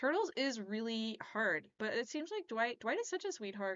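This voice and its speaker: Delivered at a fairly quick clip, a normal speaking voice moves with lively intonation. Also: woman. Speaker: pinball streamer. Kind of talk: live stream reaction, casual chat. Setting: live stream at home computer. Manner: casual, filler-heavy.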